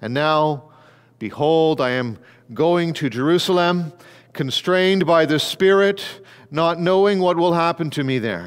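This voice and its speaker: Quiet background behind a man's speaking voice. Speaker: pastor. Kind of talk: scripture reading in a sermon. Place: church. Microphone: headset.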